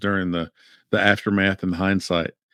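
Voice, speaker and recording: Against a quiet background, a man with a fairly low pitch talks at a fairly quick pace with fairly even intonation, the sound dry and close with no echo. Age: 50s. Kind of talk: casual discussion. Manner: halting, many fillers and repeats.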